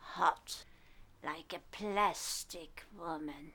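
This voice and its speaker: A female-sounding, put-on character voice growls at a middle pitch. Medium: comedy sketch. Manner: furtive, creepy.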